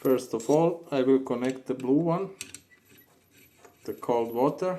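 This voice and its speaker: A man with a non-native accent, medium-pitched, speaking at a fairly slow pace with ordinary pitch variation. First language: not English. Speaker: plumber. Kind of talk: tutorial. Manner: halting.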